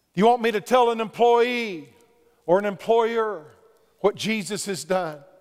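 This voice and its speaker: This man speaks loudly at a moderate pace. His pitch is extremely high. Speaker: pastor. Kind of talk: sermon. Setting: church. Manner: animated.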